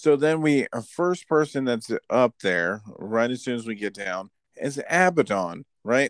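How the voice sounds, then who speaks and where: An unremarkable speaking voice moves at a fairly slow pace with lively intonation, recorded with a dry, close sound, no echo and a quiet background. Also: man, medium pitch for a man. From Florida or California, US. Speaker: wrestling podcast host. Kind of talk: casual chat.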